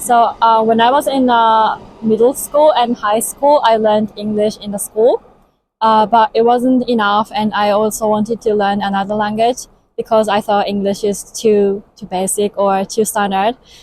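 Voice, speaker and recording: A woman speaks with a Japanese accent at a moderate pace. Her pitch sits fairly high, and her intonation stays fairly even. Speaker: interviewee, language learner. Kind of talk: interview. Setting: Tokyo.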